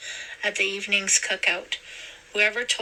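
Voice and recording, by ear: Intonation here is fairly even. The text is read aloud in a natural voice.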